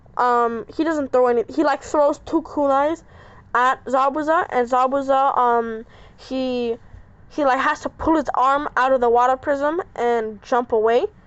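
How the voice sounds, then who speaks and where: The voice moves at a fairly slow pace with very even loudness and ordinary pitch variation. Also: woman, high pitch for a woman. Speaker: YouTuber telling fan-fiction story. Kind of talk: casual storytelling narration. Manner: halting, stuttering with many fillers; pausing to catch breath.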